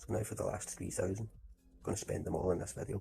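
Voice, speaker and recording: Music plays in the background as a man talks at a very fast pace. His pitch is very deep and low, and his intonation lively. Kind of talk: casual gameplay commentary.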